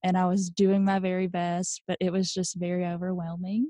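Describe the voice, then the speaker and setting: Somewhat breathy and medium-pitched, a woman speaks with monotone, flat intonation. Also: quiet background. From Kentucky. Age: 20s. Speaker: wedding planner. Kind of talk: interview.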